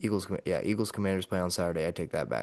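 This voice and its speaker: Against a quiet background, a man talks at a very fast pace with a very deep, low pitch. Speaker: sports podcast host. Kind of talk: casual chat. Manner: soft-spoken.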